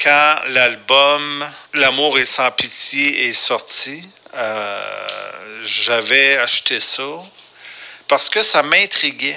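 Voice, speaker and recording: Noticeable background noise sits behind this voice with a Quebec accent. The pitch varies in an ordinary way. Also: man. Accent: Québécois French. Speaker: radio producer. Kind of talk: voicemail monologue. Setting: phone message.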